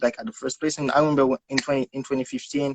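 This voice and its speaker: A man's fairly high voice with a Haitian accent, in a dry, close sound with no echo. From Haiti, Port-au-Prince. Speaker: guest. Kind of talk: casual interview. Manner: halting.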